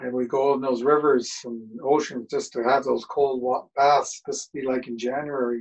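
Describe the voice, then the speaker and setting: A man's monotone, flat delivery at a moderate pace with hardly any pauses, over a quiet background. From Canada, British Columbia (Squamish); British Columbia, Canada. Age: 60s. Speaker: storyteller. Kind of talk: storytelling talk. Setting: video call. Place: home room. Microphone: webcam.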